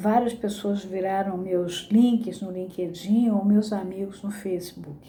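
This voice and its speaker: Noticeable background noise behind a woman speaking very slowly with hardly any pauses, in a monotone, flat intonation. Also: medium pitch for a woman. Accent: Rio de Janeiro. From Brazil, Rio de Janeiro. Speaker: psychoanalysis teacher. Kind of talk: lecture with reading aloud.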